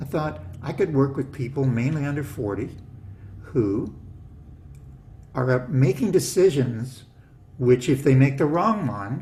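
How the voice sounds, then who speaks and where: A man with a medium-pitched, somewhat breathy, dark and mellow voice uses lively intonation. He speaks at a fairly slow pace with long, frequent pauses. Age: 60s. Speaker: business coach. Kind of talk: casual interview chat. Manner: animated.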